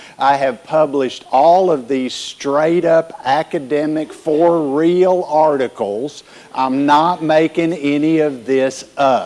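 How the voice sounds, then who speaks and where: A man with a strong Southern US accent talks at a very slow pace with hardly any pauses. His pitch is fairly high, and background noise is noticeable. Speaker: keynote speaker, workforce consultant. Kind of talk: keynote talk to live audience. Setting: conference stage with audience. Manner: animated, directive.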